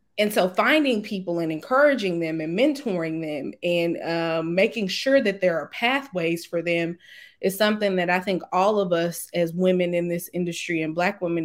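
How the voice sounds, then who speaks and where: In a very clean recording with a silent background, a woman speaks in a normal speaking voice, fairly low in pitch with ordinary pitch variation, at a moderate pace with hardly any pauses. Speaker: lobbyist. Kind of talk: interview.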